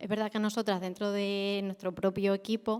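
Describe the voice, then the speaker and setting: Soft-spoken, a woman talks at a moderate pace in a medium pitch. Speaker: audience member asking a question. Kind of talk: conference Q&A question.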